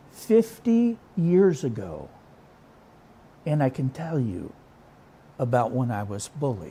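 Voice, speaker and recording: The voice has a dark, mellow tone and is somewhat breathy. It moves at a very slow pace with very wide pitch swings. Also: man. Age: 60s. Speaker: pastor. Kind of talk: sermon.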